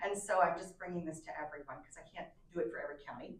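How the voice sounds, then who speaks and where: Audible room echo surrounds a woman who speaks at a very fast pace. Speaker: extension educator presenting to county commission. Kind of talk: public meeting presentation. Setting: county commission meeting room.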